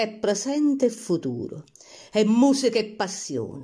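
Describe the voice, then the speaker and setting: Very slowly and at a fairly high pitch, a woman speaks in a dark, mellow tone with very wide pitch swings, in a very clean recording with a silent background. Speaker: poetry reciter. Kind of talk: poetry reading.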